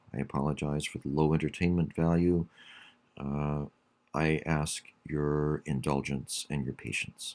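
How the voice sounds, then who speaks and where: A man's very deep, low voice, monotone with flat intonation, at a fairly slow pace. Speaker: college English instructor. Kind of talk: online class announcement. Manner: hesitant, many fillers.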